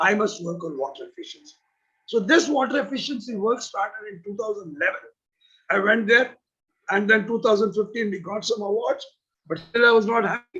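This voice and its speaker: Speaking fairly quickly with lively intonation, a man uses a high-pitched, bright, sharp tone that swings widely in loudness. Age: 70s. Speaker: rural development expert. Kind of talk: interview answer about career.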